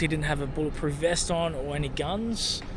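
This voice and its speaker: A man talks with an Australian accent and ordinary pitch variation. Noticeable background noise and audible room echo fill the recording. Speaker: travel vlogger. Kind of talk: casual vlog narration.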